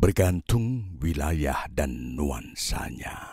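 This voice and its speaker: A man speaks in a very deep, low voice with a dark, mellow tone, somewhat breathy, at a very slow pace, his pitch swinging very widely in a dramatic tone. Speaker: audiobook narrator. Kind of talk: audiobook poetry reading, spoken word. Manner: slow, contemplative, lyrical; wistful, yearning, dramatic.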